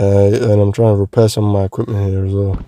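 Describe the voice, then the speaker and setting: A man's voice has a dark, mellow tone and a dry, close sound with no echo. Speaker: gaming YouTuber. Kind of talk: let's play commentary. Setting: in a parked car. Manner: louder, more energetic than usual; casual, swearing slangy talk.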